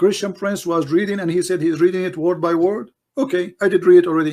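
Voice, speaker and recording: Speaking very fast with an Arabic accent, a man has a high pitch and a dark, mellow tone, recorded very cleanly against a silent background. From Middle East. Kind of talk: heated debate. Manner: animated.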